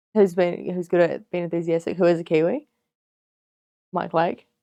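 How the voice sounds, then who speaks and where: Speaking with a New Zealand accent, a woman has a fairly low-pitched, dark, mellow voice and a moderate pace. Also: long, frequent pauses. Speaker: podcast host. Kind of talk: casual chat.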